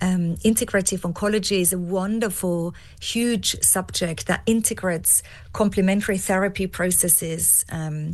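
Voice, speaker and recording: Here is a woman with an Austrian accent. Her pitch moves with ordinary variation. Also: quiet background. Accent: non-English, Austrian-tinged. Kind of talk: podcast interview.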